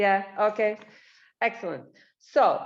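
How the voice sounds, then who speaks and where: The speaker has a Slavic accent. The pace is fairly slow. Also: woman. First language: Slovenian. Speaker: librarian and researcher. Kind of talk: presentation.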